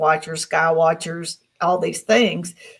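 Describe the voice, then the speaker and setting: A woman talks with a Southern US accent at a fairly low pitch. Her voice is somewhat breathy. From US South. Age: 60s. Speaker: experiencer guest. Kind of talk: interview.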